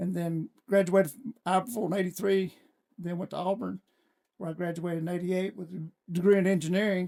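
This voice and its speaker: At a very fast pace, a man with a Southern US accent speaks in a high pitch and a dark, mellow tone, his loudness swinging widely in a dry, close sound with no echo. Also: fairly even intonation. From US South, Alabama (Sand Mountain). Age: 60s. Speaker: city council candidate, retired state trooper. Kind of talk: casual chat.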